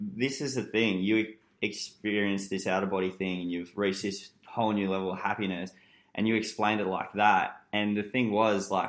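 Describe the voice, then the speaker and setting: Someone with an Australian accent speaks at a moderate pace in a monotone, flat intonation. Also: man, fairly low pitch for a man, very clean recording, silent background. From Newcastle, Australia. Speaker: podcast guest. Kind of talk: casual chat.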